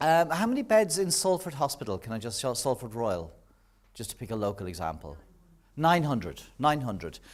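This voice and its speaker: A man speaks with an Irish accent at a moderate pace, his pitch swinging very widely. The recording is very clean, with a silent background. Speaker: nursing professor. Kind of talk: public lecture.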